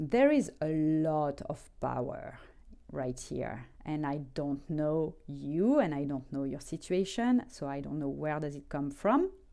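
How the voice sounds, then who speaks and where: A woman speaks with a French accent at a very slow pace. The background is quiet. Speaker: tarot reader. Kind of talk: tarot reading. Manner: hesitant, many fillers.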